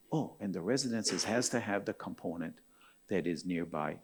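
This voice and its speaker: At a moderate pace, a man with an ordinary speaking voice talks with lively intonation. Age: 60s. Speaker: architect. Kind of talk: keynote talk. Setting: stage with audience.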